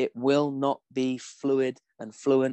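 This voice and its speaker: Speaking with an English accent, a man goes at a very slow pace. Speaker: performance psychology coach. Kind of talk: interview.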